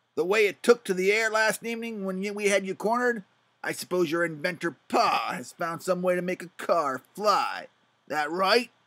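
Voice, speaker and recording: A man puts on a gravelly character voice with a high pitch, raised and projected. He keeps a moderate pace on a very clean recording with a silent background. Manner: sneering.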